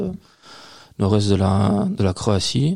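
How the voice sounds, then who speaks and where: Vocal fry runs through a man's fairly low voice, which has a dark, mellow tone. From Belgium, Liège region (Waremme). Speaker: beer importer and beer specialist. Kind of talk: casual chat. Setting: studio, filmed podcast recording.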